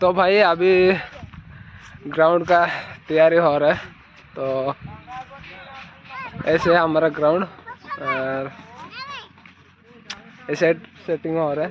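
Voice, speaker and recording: With crowd noise in the background, a man speaks at a high pitch and a very slow pace with fairly even intonation and long, frequent pauses, the sound dry with no echo. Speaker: village vlogger. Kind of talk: casual vlog chat. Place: open country. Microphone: phone near.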